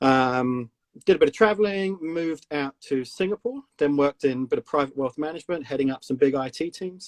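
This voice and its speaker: Speaking at a fairly quick pace in a slight South London accent, a man with a fairly high pitch and ordinary pitch variation is heard in a dry, close sound with no echo. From South London, England. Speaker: company CEO. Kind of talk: casual interview chat. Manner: casual, hesitant with many fillers.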